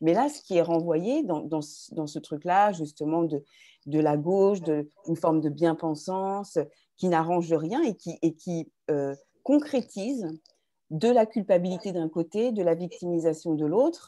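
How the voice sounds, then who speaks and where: In a very clean recording with a silent background, a woman speaks at a fairly low pitch with a dark, mellow tone. Her pace is fairly slow and her intonation lively. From France, Touraine. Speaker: writer and actress, activist. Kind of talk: interview conversation.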